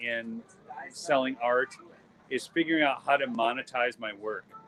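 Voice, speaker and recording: This man speaks with a Minnesotan accent at a medium pitch. His pitch varies in an ordinary way, and background noise is noticeable. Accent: Minnesota. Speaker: photographer and YouTube host. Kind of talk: live stream vlog at art booth. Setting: outdoor art show booth. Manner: casual, halting with fillers.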